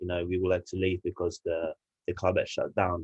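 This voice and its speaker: A man speaks with an English accent against a quiet background. The sound is dry and close, with no echo. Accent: English-sounding. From Italy, Turin. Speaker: rugby player. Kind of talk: podcast interview. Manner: halting, many fillers.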